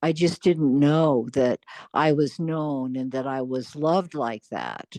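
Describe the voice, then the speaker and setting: A woman with an American accent speaks very slowly in a very deep, low voice with a dark, mellow tone and fairly even intonation. The sound is dry and close with no echo, over a quiet background. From US Pacific Northwest (Seattle). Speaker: real estate agent and long-time expat. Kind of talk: conversational interview.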